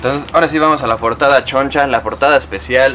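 A man at a medium pitch, fairly even in intonation, with clear background noise.

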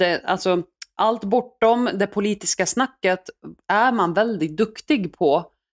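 Speaking at a very slow pace with very even loudness, a woman uses medium pitch and ordinary pitch variation, in a dry, close sound with no echo. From Iraq, raised in Sweden. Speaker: former politician. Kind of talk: interview.

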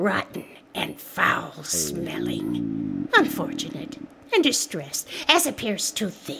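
Over noticeable background noise, a woman speaks at a fairly slow pace in a theatrical, playful tone. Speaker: co-narrator voicing the hag character. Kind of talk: dramatic reading, playing the hag character with comic asides. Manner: theatrical, playful, mocking and exaggerated, giggling.

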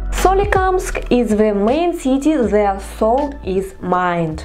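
Music plays in the background as a woman speaks very slowly with a Russian accent. Her fairly high voice moves through very wide pitch swings. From Perm region, northern Russia. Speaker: vlogger. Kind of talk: casual talk to camera.

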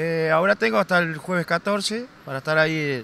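A man with a Uruguayan accent at a moderate pace, light background noise, and a dry sound with no echo. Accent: Rioplatense Spanish (Uruguayan). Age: 40s. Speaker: passer-by interviewee; interviewee. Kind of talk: street interview. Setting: outdoors in a city square. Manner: halting, many fillers. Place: street. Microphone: handheld.

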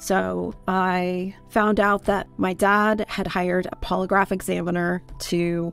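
Dry sound with no echo and faint music in the background. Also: woman. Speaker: interview guest. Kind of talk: personal story interview answer. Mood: serious, reflective. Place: home room. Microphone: studio mic.

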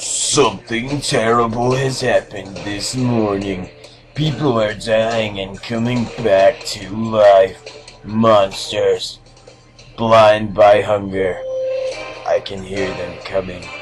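Faint music plays behind a man using a put-on character voice. He keeps a medium pitch and a very slow pace. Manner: dramatic, put-on reading voice.

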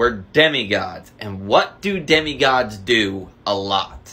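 A man's bright, sharp voice with lively intonation. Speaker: skit creator playing two characters. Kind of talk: comedy skit dialogue. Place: home room. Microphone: phone near.

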